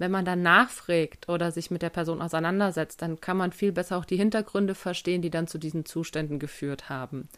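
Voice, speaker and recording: A woman with an unremarkable speaking voice and fairly low pitch talks at a fairly quick pace with hardly any pauses and fairly even intonation, in a very clean recording with a silent background. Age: 20s. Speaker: podcast host. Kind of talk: solo podcast Q&A monologue. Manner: casual.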